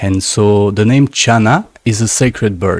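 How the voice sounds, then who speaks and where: A man's medium-pitched voice with a French accent at a moderate pace, dry and close with no echo. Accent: French-speaking accent in English. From Canada, French-speaking. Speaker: shaman, plant medicine healer. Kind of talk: interview. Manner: halting, searching for words.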